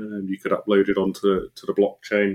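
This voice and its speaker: A man with a British accent, dry, close sound with no echo, very clean recording, silent background. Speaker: crypto podcast co-host. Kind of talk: casual chat. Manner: halting, repeats words.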